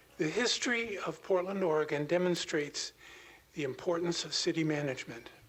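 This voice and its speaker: With noticeable background noise behind him, a man talks in a high voice at a moderate pace, his pitch varying in an ordinary way. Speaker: public commenter. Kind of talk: prepared public comment.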